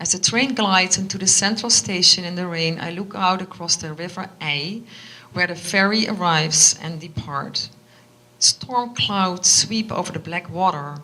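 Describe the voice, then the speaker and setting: Moderate pace, ordinary pitch variation and a Dutch accent, against noticeable background noise. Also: woman. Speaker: author. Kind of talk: reading aloud; casual chat. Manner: halting.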